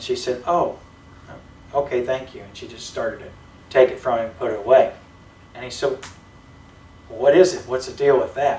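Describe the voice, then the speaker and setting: A man speaks with ordinary pitch variation. There is audible room echo and light background noise. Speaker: preacher. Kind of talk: sermon. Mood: lighthearted, amused. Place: church. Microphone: camera far.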